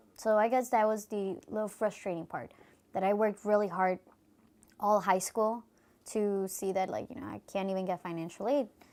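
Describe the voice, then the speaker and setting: A woman of medium pitch with an American accent, fairly even intonation, and a moderate pace, on a very clean recording with a silent background. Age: 20s. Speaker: student (DACA recipient). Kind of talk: personal testimony interview. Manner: hesitant, many fillers.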